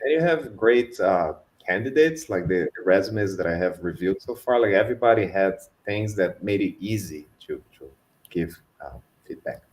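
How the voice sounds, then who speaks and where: A man's fairly low voice in a Brazilian Portuguese accent, moderate in pace, with lively intonation and big swings in loudness. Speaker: customer engineer at a tech company. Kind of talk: online panel talk. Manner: hesitant, many fillers.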